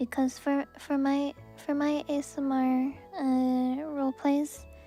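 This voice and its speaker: A soft-spoken voice plays over music in the background. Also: woman. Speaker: vtuber and ASMR creator. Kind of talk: casual live-stream talk.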